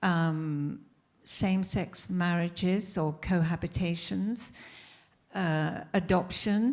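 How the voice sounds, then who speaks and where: A woman with a British accent speaks at a very slow pace and fairly low pitch, with ordinary pitch variation, in a very clean recording with a silent background. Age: 80s+. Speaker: historian panelist. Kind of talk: panel discussion.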